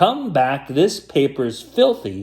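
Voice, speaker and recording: A man's put-on character voice, squeaky and fairly high, with very wide pitch swings. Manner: fussy, complaining.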